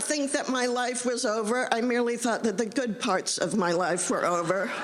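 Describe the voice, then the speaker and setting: Over noticeable background noise and audible room echo, a woman talks at a moderate pace in a high voice, with lively intonation, very even loudness and hardly any pauses. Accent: American. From US Midwest, Indiana. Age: 70s. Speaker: novelist. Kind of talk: talk to audience. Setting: stage with audience. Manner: halting.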